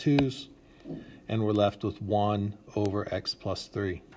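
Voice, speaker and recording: A man with a fairly low pitch and an ordinary speaking voice. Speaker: math teacher. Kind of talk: tutorial.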